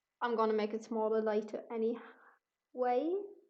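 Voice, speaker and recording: A woman with a non-native accent speaks at a fairly high pitch with fairly even intonation. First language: not English. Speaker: artist streaming painting. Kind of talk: casual livestream commentary. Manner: halting, many fillers.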